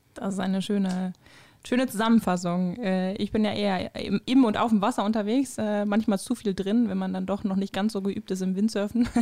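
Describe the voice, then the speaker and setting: The tone is dark and mellow, with fairly even intonation at a moderate pace. The recording is very clean, with a silent background. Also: woman, medium pitch for a woman. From Germany, Krefeld (Lower Rhine). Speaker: podcast co-host. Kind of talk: casual chat.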